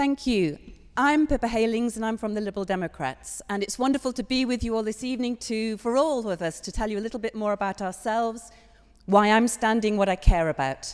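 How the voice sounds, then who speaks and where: This woman has a fairly high pitch and a Hull accent. She talks at a fairly quick pace with ordinary pitch variation. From northern England, Hull. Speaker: parliamentary candidate. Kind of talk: campaign speech at hustings. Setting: church hall with audience.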